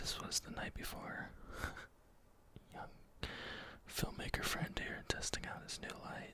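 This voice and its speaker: Over noticeable background noise comes whispering at a fairly slow pace. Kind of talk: ASMR voice over; casual personal vlog narration. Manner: soft-spoken, whispered.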